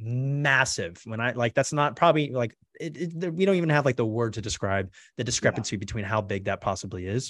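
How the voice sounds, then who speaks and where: Delivered at a fairly quick pace with lively intonation, the speech sits over a quiet background. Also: man, medium pitch for a man. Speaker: podcast host. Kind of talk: casual interview chat. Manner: fast.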